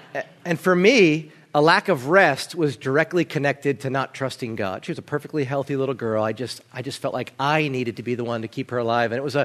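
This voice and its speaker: A man with an American accent talks at a fairly quick pace in a normal speaking voice, fairly high in pitch, with ordinary pitch variation. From New Jersey. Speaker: pastor. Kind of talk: sermon.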